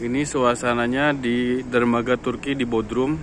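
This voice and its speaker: A man speaks at a very slow pace in a dry sound with no echo, with light background noise present. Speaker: cruise ship worker vlogger. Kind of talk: casual vlog chat. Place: waterside. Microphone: phone near.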